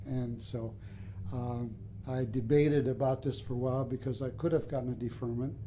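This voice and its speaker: A man with an American accent, medium pitch, and a dark, mellow, somewhat breathy tone, at a moderate pace with fairly even intonation. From Michigan (Flint area). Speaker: retired veterinary professor. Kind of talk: oral history interview. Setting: at his home. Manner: halting, many fillers.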